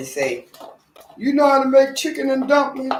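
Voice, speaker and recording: Noticeable background noise sits under this recording. A woman with an American accent speaks at a moderate pace. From Norfolk, Virginia, US South. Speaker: home cook vlogger. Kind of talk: casual cooking livestream. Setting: home kitchen, live stream.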